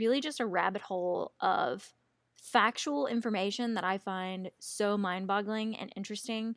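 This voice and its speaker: A woman's medium-pitched voice with an animated tone and ordinary pitch variation at a moderate pace, in a very clean recording with a silent background and a dry, close sound with no echo. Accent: Southern US. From US South. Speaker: true crime podcast co-host. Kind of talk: casual chat.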